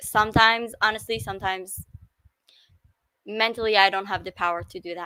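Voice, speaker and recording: A woman with an Israeli accent talks at a moderate pace, her medium pitch held in fairly even intonation and her tone bright and sharp. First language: Hebrew. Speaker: livestream host. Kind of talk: casual chat. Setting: live stream. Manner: halting.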